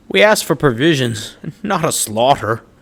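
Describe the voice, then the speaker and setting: In a put-on character voice, a man booms at a medium pitch with very wide pitch swings and a moderate pace. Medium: audio drama. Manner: hearty, jovial, booming.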